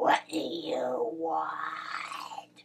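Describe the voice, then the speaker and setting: A woman's growling, put-on character voice. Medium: read story. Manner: gruff, grumbling.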